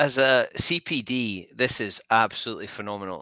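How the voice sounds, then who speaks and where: A man with a Scottish accent speaks in a bright, sharp tone with ordinary pitch variation. The sound is dry with no echo, and the background is quiet. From Scotland. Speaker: podcast host. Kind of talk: casual interview. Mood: warm, enthusiastic.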